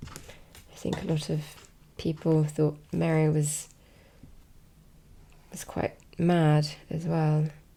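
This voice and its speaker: Soft-spoken and relaxed in tone, the voice moves at a very slow pace with long, frequent pauses. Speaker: ASMR content creator. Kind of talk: soft-spoken ASMR talk to camera. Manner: soft-spoken, slow, relaxed.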